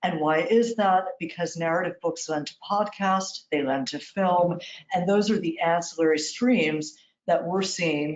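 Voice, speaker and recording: A woman's fairly low-pitched voice with a warm tone, ordinary pitch variation and an American accent. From New York. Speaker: literary agent. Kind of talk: interview. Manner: fast.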